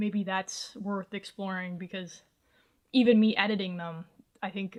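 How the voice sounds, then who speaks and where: This woman's voice sits at medium pitch, with fairly even intonation and a moderate pace. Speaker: content creator and vlogger. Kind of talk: casual vlog to camera. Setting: home recording room with colorful lights. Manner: halting.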